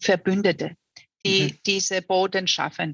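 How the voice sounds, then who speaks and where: A normal speaking voice from a woman at medium pitch and a moderate pace, with a dry, close sound and no echo. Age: 50s. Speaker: mayoral candidate. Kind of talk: interview. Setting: online call.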